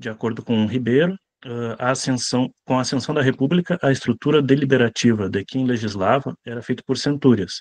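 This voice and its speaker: The man's medium-pitched voice moves at a fairly quick pace with hardly any pauses and ordinary pitch variation, recorded dry and close with no echo against a quiet background. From southern Brazil, Rio Grande do Sul (São Sepé). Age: 20s. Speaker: lecturer and leader of a monarchist movement. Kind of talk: online lecture. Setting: video call. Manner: hesitant, frequent filler sounds.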